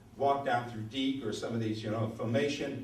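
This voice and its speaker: A man sounds animated. Noticeable background noise and audible room echo surround his voice. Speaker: author and screenwriter. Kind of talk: talk to a club audience. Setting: meeting with live audience.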